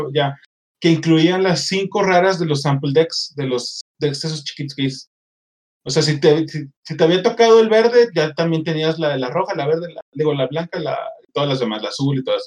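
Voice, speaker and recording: This man has an unremarkable speaking voice, pitched fairly high. He talks at a moderate pace with ordinary pitch variation. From Mexico, Monterrey. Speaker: podcast host. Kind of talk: casual chat.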